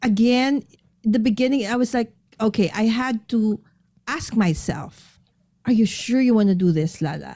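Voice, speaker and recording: A woman with a Filipino accent talks at a fairly slow pace with long, frequent pauses, her fairly high pitch carrying lively intonation and a dark, mellow tone. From Philippines. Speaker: paper crafter and live streamer. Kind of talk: casual chat.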